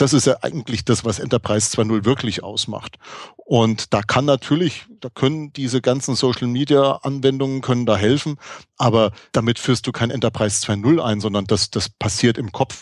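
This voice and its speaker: Heard in a dry, close sound with no echo, a man talks with a slight Franconian accent. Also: medium pitch for a man, ordinary pitch variation, moderate pace. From Franconia, Germany. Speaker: podcast co-host. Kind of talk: casual chat. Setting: live recording at a conference.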